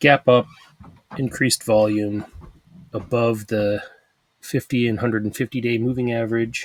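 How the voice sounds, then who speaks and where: A man talks in a flat monotone with long, frequent pauses, recorded dry and close with no echo. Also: medium pitch for a man, moderate pace. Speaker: stock trading video creator. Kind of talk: screen-share trading commentary. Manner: mumbling, thinking out loud; casual, halting.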